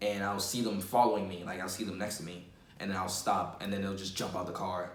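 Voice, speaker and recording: Here a man is talking. He has a New York accent. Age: young. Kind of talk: personal testimony to camera. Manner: casual, conversational.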